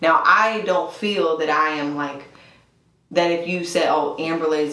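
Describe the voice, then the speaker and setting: Speaking at a moderate pace, a woman uses a very deep, low pitch with ordinary pitch variation. Room echo is audible, and background noise is noticeable. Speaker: worship leader. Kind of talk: casual chat. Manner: casual, filler-heavy.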